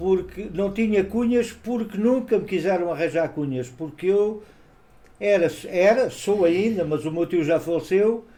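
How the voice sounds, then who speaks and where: A man speaks at a fairly slow pace in a high-pitched voice with a dark, mellow tone and ordinary pitch variation. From Portugal, Lisbon. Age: 70s. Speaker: colonial war veteran. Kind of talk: interview.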